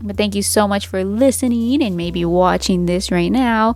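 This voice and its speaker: The tone is animated. The pace stays moderate. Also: woman. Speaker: podcast host. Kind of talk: casual monologue. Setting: home recording on tablet. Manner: rambling, animated.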